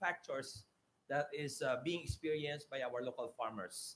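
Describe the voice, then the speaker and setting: A man's voice sits at a fairly high pitch and sounds somewhat breathy. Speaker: mayor. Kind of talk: conference presentation. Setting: auditorium stage. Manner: fast.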